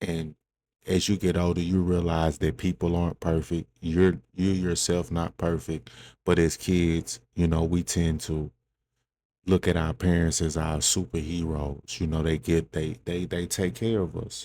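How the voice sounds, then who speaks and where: Soft-spoken and at a fairly slow pace, a man talks in a very deep, low pitch with a dark, mellow tone and monotone, flat intonation. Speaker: podcast host. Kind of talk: personal monologue. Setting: indoors in a room at home. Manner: halting.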